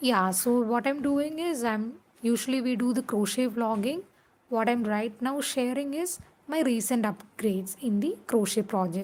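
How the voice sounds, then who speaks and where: A woman speaks with a Keralan accent in a high pitch. Her loudness stays very even while her pitch varies in an ordinary way. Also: moderate pace. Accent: Indian English (Malayali). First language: Malayalam. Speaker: crochet vlogger. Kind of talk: casual tutorial vlog. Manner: halting, many fillers.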